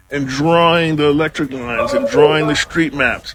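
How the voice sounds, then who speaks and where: Music plays behind a man with an American accent. He speaks at a fairly slow pace with a fairly high pitch. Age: 60s. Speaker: TikTok creator. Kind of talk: testimony.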